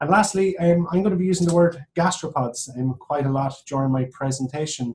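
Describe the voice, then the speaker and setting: In an Irish accent, a man talks at a moderate pace with ordinary pitch variation. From Ireland, Athlone (midlands). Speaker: professor. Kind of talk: webinar lecture. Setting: online webinar.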